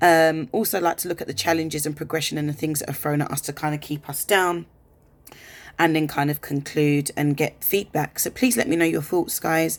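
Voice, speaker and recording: In a very clean recording with a silent background, a woman with an English accent speaks at a very deep, low pitch. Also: fairly even intonation, fairly quick pace. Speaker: vlogger. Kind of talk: personal vlog monologue. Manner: fast.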